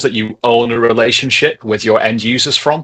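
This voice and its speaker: A man speaks with a northern English accent. His pace is fairly quick and his intonation fairly even. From northern England. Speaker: tech company co-founder. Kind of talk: webinar presentation.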